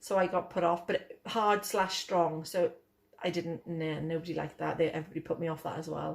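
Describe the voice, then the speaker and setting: Fast-moving and fairly low-pitched, a woman talks with a Welsh accent. Her intonation is monotone and flat. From Wales. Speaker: vlogger. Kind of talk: casual chat.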